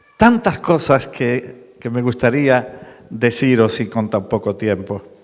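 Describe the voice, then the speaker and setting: A man with an Andalusian accent at a very slow pace. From Málaga, Andalusia, Spain. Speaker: preacher. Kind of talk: sermon.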